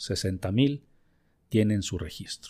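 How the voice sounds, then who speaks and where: Over music in the background, a man with a Mexican accent speaks in a warm tone with ordinary pitch variation. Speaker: business podcast host and consultant. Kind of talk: educational monologue. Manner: warm, conversational.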